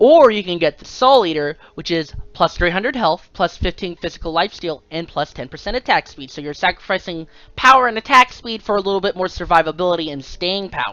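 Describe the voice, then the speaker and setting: A woman with a plain, everyday voice and medium pitch talks at a fairly quick pace with hardly any pauses, lively intonation and big swings in loudness. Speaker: gaming video creator. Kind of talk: tutorial.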